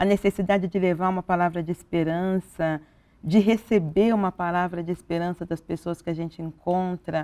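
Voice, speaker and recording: A woman speaks in a fairly low, dark, mellow voice at a moderate pace with monotone, flat intonation, captured in a dry, close, very clean recording with no echo and a silent background. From Brazil. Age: 60s. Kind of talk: TV interview. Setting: TV studio, live.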